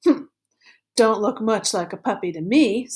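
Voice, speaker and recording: Putting on a character voice, a woman speaks at a fairly high pitch and a moderate pace. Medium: read story. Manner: skeptical, dry.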